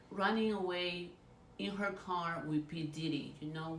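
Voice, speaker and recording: Spoken at a fairly slow pace with a Spanish accent, this clip has audible room echo and noticeable background noise. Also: woman. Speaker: YouTuber, celebrity gossip commentator. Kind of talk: casual vlog commentary.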